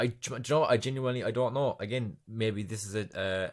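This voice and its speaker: A man with an Irish accent at a fairly quick pace, ordinary pitch variation, on a very clean recording with a silent background. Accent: Irish accent, says film as 'filum'. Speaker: podcast host. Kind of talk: casual solo podcast monologue. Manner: chatty, rambling with fillers.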